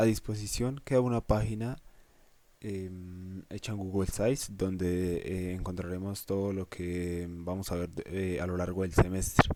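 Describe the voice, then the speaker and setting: A dark, mellow tone at a fairly slow pace, with fairly even intonation. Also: man. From Colombia, Boyacá (Cucaita). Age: 20s. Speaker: university student teaching a course. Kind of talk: lecture. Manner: halting, many fillers.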